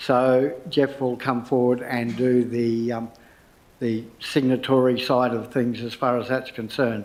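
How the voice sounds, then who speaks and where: Audible room echo surrounds a man with an Australian accent at medium pitch. He speaks fairly slowly in a monotone, flat intonation. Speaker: council meeting chair. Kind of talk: formal meeting procedure. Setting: council chamber, live streamed. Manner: loud.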